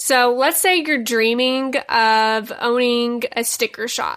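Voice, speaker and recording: Against a silent background in a very clean recording, a woman speaks at a high pitch in a bright, sharp, animated tone. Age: 20s. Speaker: podcast host and small business owner. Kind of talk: casual solo podcast monologue.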